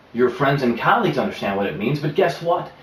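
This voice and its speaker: A man's confident tone over noticeable background noise. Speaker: professional presenter and pitchman. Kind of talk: promotional pitch to camera. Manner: confident, polished, persuasive.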